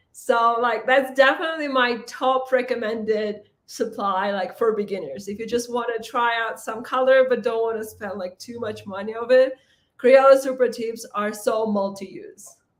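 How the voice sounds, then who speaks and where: A woman's fairly high voice with a non-native accent, ordinary pitch variation, moderate pace, hardly any pauses and big swings in loudness. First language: not English. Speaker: planner content creator. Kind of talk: casual live stream chat. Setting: livestream.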